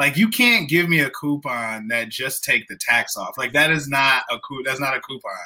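A man's fairly high voice with lively intonation, at a moderate pace with hardly any pauses, over noticeable background noise. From southern Illinois. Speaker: comedy promoter and venue manager. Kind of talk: casual chat.

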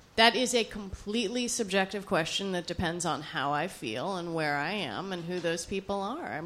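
This woman's voice sits at a medium pitch. Noticeable background noise runs under the recording. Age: 30s. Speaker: public radio journalist. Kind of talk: on-stage interview. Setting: stage with audience at a bookstore. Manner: practiced, radio-style delivery.

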